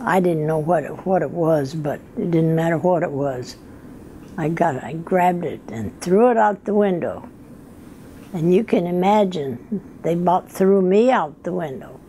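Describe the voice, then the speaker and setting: A woman talks with an American accent and lively intonation at a moderate pace. Noticeable background noise is present. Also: fairly low pitch for a woman. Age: 80s+. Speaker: retired telephone operator. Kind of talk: interview answer, life story.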